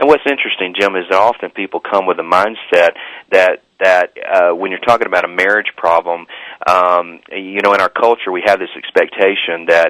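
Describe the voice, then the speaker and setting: In a Southern US accent, the speaker talks at a moderate pace with fairly even intonation and a bright, sharp tone, the sound dry and close with no echo. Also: man, very deep, low pitch for a man. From US South. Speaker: author and former pastor, marriage counselor. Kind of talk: radio interview. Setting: talk radio show. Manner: halting, many repetitions.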